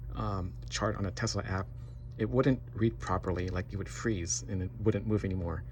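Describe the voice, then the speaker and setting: Vocal fry and very wide pitch swings at a moderate pace. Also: man, very deep, low pitch for a man. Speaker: homeowner video blogger. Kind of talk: casual tutorial. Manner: halting, many fillers.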